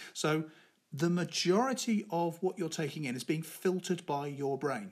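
A man has a plain, everyday voice with lively intonation. The recording is very clean, with a silent background. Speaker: public speaking coach and podcast host. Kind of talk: solo podcast tutorial.

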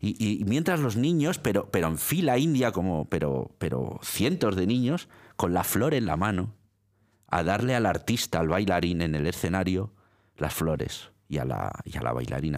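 Very deep and low with vocal fry, a man's voice swings very widely in pitch while his loudness stays very even. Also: moderate pace, very clean recording, silent background. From Italy, born in Milan. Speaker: radio presenter and librarian. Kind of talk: interview. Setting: studio. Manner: halting, many repetitions.

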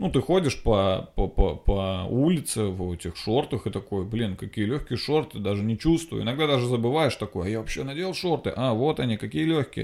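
Talking at a moderate pace in a medium pitch, a man uses an animated tone and very wide pitch swings in a very clean recording with a silent background. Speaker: podcast host, comedian. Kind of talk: casual comedic monologue. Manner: loud.

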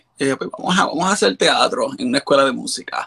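The sound is dry and close, with no echo. A man talks in a bright, sharp tone. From Puerto Rico, Carolina. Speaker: drag performer. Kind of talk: interview. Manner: halting, many fillers.

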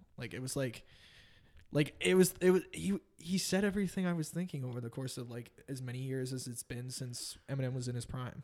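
This man speaks in a Western Canadian accent. His loudness swings widely. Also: medium pitch for a man, lively intonation, fairly quick pace. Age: 20s. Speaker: former rugby player. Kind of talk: casual chat.

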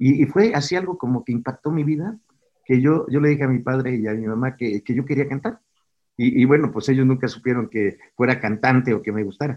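A normal speaking voice from a man, medium in pitch with ordinary pitch variation and a fairly quick pace. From Mexico (Tabasco, raised in Puebla). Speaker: pastor, former singer. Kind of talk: sermon; testimony.

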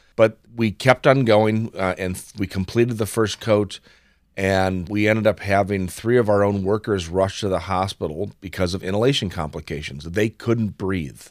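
A man with an American accent and a plain, everyday voice talks at a moderate pace with fairly low pitch and ordinary pitch variation in a very clean recording with a silent background. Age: 50s. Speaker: healthy home consultant. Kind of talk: interview.

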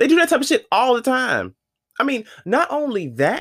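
Recorded very cleanly against a silent background, with a dry, close sound and no echo, a man speaks in an animated tone at a moderate pace with very wide pitch swings. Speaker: podcast host. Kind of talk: casual monologue rant.

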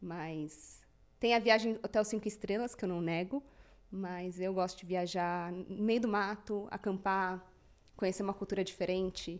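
Recorded very cleanly against a silent background, a woman with a plain, everyday voice talks at a fairly slow pace, medium pitch and fairly even intonation. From Brazil, São Paulo. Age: 30s. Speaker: company CEO. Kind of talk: interview.

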